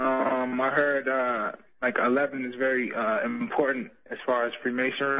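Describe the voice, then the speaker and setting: With an American accent, a man talks at a fairly slow pace and medium pitch with fairly even intonation, over noticeable background noise. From Chicago. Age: 20s. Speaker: college student caller. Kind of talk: phone-in call. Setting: phone call. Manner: halting, many fillers.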